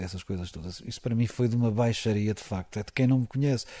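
Speaking at a very fast pace, a man with a dark, mellow tone and fairly low pitch sounds somewhat breathy, using ordinary pitch variation against a quiet background. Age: 40s. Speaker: football commentator. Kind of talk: interview.

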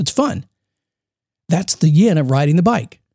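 With lively intonation, the man speaks fairly quickly. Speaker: motivational podcast host. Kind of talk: solo podcast monologue. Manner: casual, conversational.

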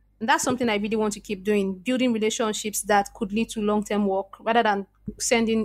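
A woman speaks with a Nigerian accent at a fairly quick pace. Her fairly high pitch stays monotone and flat. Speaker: SEO copywriter and content strategist. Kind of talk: interview.

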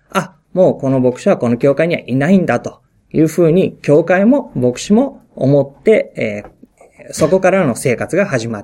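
Lively intonation colors the speech at a moderate pace. The voice has a dark, mellow tone. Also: man. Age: 40s. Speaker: pastor. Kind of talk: talk to fellow pastors. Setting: pastors' meeting. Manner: halting.

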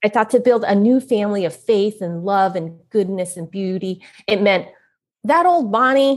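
Against a quiet background, a woman with an American accent uses a plain, everyday voice at a moderate pace, with medium pitch and ordinary pitch variation. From US West Coast (San Francisco). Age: middle-aged. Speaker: author and speaker. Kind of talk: casual interview.

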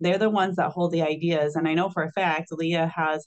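An American-accented woman has an unremarkable speaking voice, fairly low for a woman. She keeps a moderate pace and fairly even intonation. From Illinois. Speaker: trauma surgeon and hospital executive. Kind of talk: interview.

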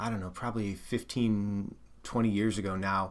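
A man uses a plain, everyday voice and keeps a moderate pace. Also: very clean recording, silent background. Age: 40s. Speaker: lay minister. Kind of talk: interview.

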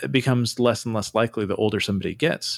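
Fairly quick speech comes through on a very clean recording with a silent background and a dry, close sound with no echo. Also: man. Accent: Californian. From US West Coast (Santa Cruz, California). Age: 40s. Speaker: podcast host. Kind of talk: casual chat.

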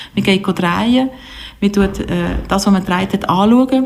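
Over noticeable background noise, a woman talks at a moderate pace. Her medium-pitched voice shows ordinary pitch variation. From Switzerland, Biel. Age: 40s. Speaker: film festival director. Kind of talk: interview. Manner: hesitant, many fillers.

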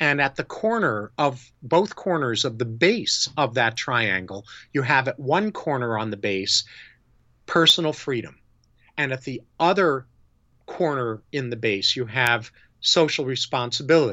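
A man with an American accent speaks in a plain, everyday voice at medium pitch, using lively intonation at a fairly slow pace. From New York. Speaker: psychologist and integrity consultant. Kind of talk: interview.

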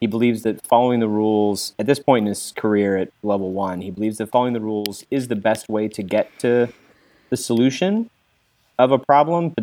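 A man's dark, mellow, fairly low voice with an American accent and ordinary pitch variation, in a dry, close sound with no echo. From US South (Kentucky). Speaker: game designer and writer. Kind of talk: casual chat and tabletop role-play.

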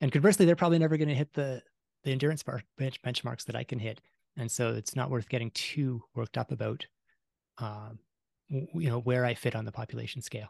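Talking at a very fast pace with a Canadian accent, a man sounds somewhat breathy in a dry, close recording with no echo. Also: medium pitch for a man, ordinary pitch variation. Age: 40s. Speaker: science journalist and author. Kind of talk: interview. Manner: rambling, self-interrupting.

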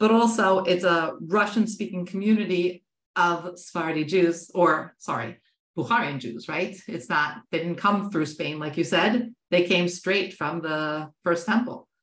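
At a fairly slow pace, a woman speaks in a normal speaking voice with a fairly low pitch and ordinary pitch variation. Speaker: podcast host. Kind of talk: interview.

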